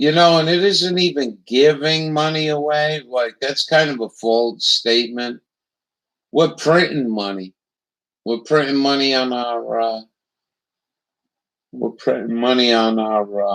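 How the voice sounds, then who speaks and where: A man's medium-pitched voice with an American accent, at a fairly slow pace with long, frequent pauses. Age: 60s. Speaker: political commentary livestreamer. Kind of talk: casual chat.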